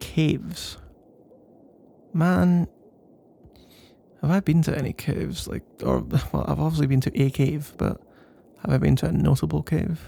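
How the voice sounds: In a put-on character voice, a man speaks fairly high and fairly slowly with a dark, mellow tone, vocal fry, fairly even intonation and long, frequent pauses.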